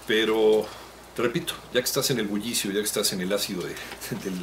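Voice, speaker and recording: Against light background noise, a man talks at a very fast pace. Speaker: radio announcer. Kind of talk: interview answer. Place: office. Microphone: handheld.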